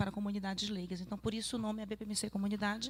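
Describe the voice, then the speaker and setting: This is a woman speaking. She has a Pará accent. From Pará, northern Brazil. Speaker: psychologist. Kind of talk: lecture.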